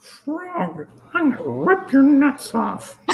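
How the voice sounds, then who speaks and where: A put-on character voice at a fairly slow pace. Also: female-sounding voice, high pitch for a woman. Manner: furious.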